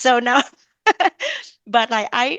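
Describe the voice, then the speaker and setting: Against a quiet background, a woman with a Vietnamese accent speaks in a bright, sharp tone. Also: dry, close sound with no echo. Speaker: blogger and mom entrepreneur. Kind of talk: interview podcast conversation.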